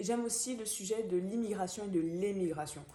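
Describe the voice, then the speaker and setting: With a Gabonese accent, the speaker has a dark, mellow tone and ordinary pitch variation at a moderate pace. There is audible room echo. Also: woman. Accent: African (Gabonese). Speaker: book vlogger. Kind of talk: book review monologue. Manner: hesitant, many fillers.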